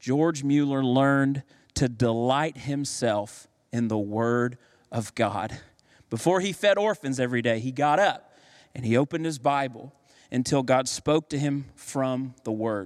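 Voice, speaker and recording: The recording is very clean with a silent background as a man with a normal speaking voice talks fairly slowly at a medium pitch with ordinary pitch variation. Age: 30s. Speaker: pastor. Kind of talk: sermon.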